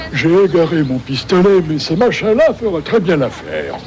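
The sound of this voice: A man's high-pitched, cartoonish character voice at a moderate pace, with clear background noise.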